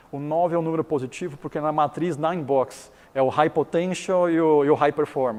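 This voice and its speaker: Speaking at a moderate pace in a Chinese accent, a man uses a fairly high pitch with ordinary pitch variation. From Taiwan. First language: Chinese (speaking Portuguese). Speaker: business founder and educator. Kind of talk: interview.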